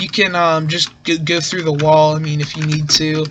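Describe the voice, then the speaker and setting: Someone speaks at a moderate pace, with noticeable background noise. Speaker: gaming youtuber. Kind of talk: game tutorial.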